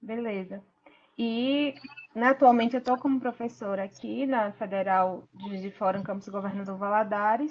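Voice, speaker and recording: Fairly high in pitch for a woman, her voice shows big swings in loudness and ordinary pitch variation, in a strong northeastern Brazilian accent. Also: moderate pace. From Sergipe, northeast Brazil. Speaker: pharmacy professor. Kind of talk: online lecture. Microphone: some viewers report bad audio.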